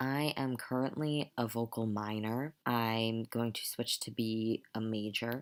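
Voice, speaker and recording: A quiet man's voice comes through at a medium pitch with fairly even intonation. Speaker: transgender vlogger and music student. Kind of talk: casual vlog. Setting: at home at night.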